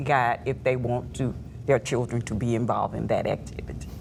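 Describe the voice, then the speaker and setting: Moderately paced female speech against noticeable background noise. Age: 70s. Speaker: TV panelist. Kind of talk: TV panel discussion.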